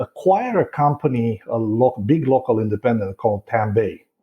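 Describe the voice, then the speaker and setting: A man with a Romanian accent speaks in a somewhat breathy voice. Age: 40s. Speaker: real estate broker. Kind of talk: podcast interview.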